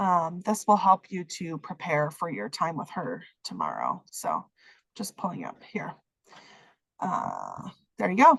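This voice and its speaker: A woman's fairly low-pitched voice with vocal fry, lively intonation and big swings in loudness, at a fairly slow pace with long, frequent pauses. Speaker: social work program faculty. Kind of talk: online program orientation. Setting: video call.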